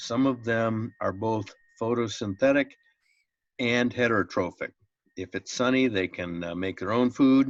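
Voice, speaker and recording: With a plain, everyday voice, a man talks at a medium pitch and a fairly slow pace, with ordinary pitch variation against a quiet background. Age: 60s. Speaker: biology teacher. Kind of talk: lecture.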